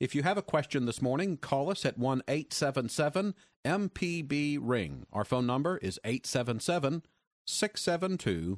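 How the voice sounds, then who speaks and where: A man in a normal speaking voice, fairly high in pitch, speaks at a moderate pace with lively intonation and very even loudness, the sound dry and close with no echo. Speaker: radio host. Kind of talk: radio call-in show hosting. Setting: studio.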